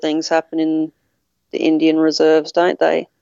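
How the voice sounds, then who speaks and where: A woman with an Australian accent speaks at a moderate pace in a fairly low pitch. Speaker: podcast listener interviewing the host. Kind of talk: casual interview chat. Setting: video call across countries.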